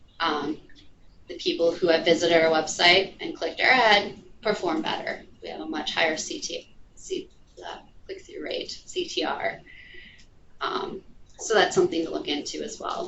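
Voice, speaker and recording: A woman at a moderate pace, with long, frequent pauses, big swings in loudness and audible room echo. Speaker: digital marketing specialist. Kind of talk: lecture. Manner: many filler ums.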